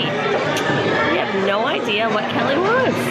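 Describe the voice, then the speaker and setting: A woman speaks with music in the background. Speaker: family vlogger mother. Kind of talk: casual vlog chat. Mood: cheerful, playful. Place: shop. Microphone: phone near.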